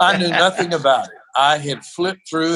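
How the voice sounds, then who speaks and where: In a plain, everyday voice, a man with an American accent talks at a fairly slow pace with ordinary pitch variation. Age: 60s. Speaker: wrestling announcer and minister. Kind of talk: interview conversation.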